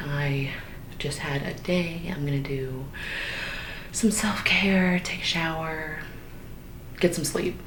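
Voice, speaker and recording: Against noticeable background noise, a woman talks at a very slow pace. Her pitch is very deep and low. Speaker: ASMR artist. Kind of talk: ASMR personal attention roleplay. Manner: whispered, soft-spoken.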